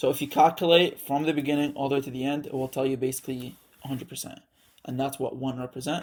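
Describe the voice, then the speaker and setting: A man's very fast, monotone, flat delivery in a very clean recording with a silent background. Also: fairly high pitch for a man. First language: not English. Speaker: student tutor. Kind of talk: tutorial. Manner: casual, halting with fillers.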